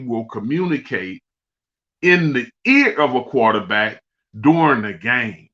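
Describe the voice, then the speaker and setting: A man's fairly high, bright and sharp voice moves at a very slow pace through very wide pitch swings. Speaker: former pro football player, podcast guest. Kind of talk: casual chat. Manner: passionate.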